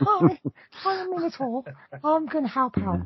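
Someone performs a put-on character voice at a high pitch. The pace is moderate. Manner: friendly, helpful.

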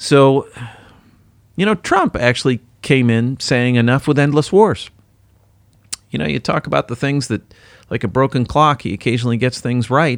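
A man with an American accent and a medium pitch, at a moderate pace with lively intonation and long, frequent pauses. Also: dry, close sound with no echo. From US, Detroit. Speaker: podcast co-host. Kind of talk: casual chat.

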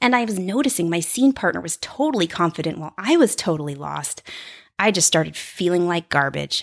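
A woman's animated, lively voice with vocal fry at a fairly quick pace, on a very clean recording with a silent background. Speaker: podcast host and improviser. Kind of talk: solo monologue podcast. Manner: peppy, friendly.

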